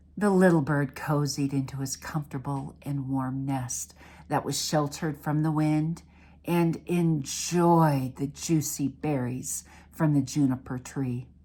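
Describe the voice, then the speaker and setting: Over a silent background on a very clean recording, a woman with a very deep, low pitch and a dark, mellow tone speaks at a fairly slow pace with fairly even intonation. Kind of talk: children's story reading.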